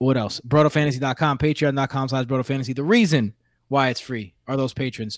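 The voice comes in a New York accent, with a dry, close sound with no echo on a very clean recording over a silent background. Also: man. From New York City. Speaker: podcast host.

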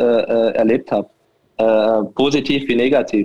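A man's voice at medium pitch. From Saarbrücken, Germany. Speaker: football coach. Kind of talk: casual interview. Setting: call-in remote.

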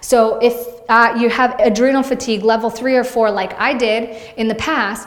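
A woman's high-pitched voice over noticeable background noise. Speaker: fitness vlogger and personal trainer. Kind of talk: casual vlog monologue to audience. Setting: video blog. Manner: fast talker; warm, chatty.

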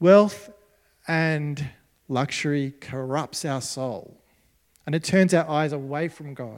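A fairly high-pitched man with an Australian accent speaks at a very slow pace, with ordinary pitch variation, big swings in loudness and long, frequent pauses. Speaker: pastor. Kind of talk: sermon. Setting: church.

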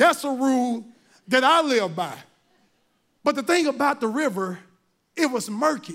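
Long, frequent pauses in an animated, lively-intoned voice with a Southern US accent, on a very clean recording with a silent background. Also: man, extremely high pitch for a man, moderate pace. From US South, Mississippi. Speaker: volunteer lay preacher. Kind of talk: sermon. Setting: church with live audience.

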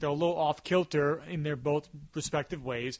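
A man with a fairly high pitch talks at a fairly quick pace with fairly even intonation in an unremarkable speaking voice. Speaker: podcast host. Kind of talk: casual chat, movie review podcast. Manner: talkative, joking.

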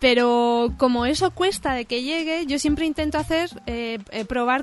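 Her voice is high, with ordinary pitch variation. The woman speaks at a fairly slow pace. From Catalonia, Spain (Cerdanyola). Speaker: illustrator. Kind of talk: interview.

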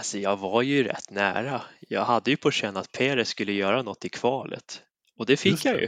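This man has a plain, everyday voice at medium pitch, moving at a moderate pace with ordinary pitch variation in a dry, close sound with no echo against a quiet background. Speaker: motorsport podcast panelist. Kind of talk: casual chat. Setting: recording from his kitchen.

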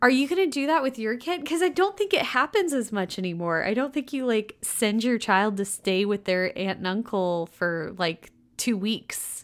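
A woman's relaxed tone at a fairly high pitch, with very wide pitch swings and a moderate pace, in a very clean recording with a silent background. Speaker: podcast co-host and chapter reader. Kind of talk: casual chat, retelling the plot in slangy modern paraphrase. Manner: relaxed, jokey, laughs often.

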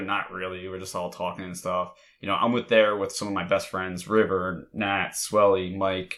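Recorded very cleanly against a silent background, a man with a Mid-Atlantic American accent speaks at a moderate pace, his fairly low pitch carrying a bright, sharp tone. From Delaware. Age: 20s. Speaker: podcast host. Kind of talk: casual chat.

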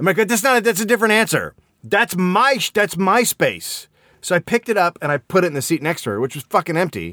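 On a very clean recording with a silent background, a man speaks at a very fast pace in a raised, projected voice, his pitch high, his tone animated, bright and sharp, with lively intonation. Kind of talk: angry rant. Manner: animated, indignant, interrupting himself with cursing.

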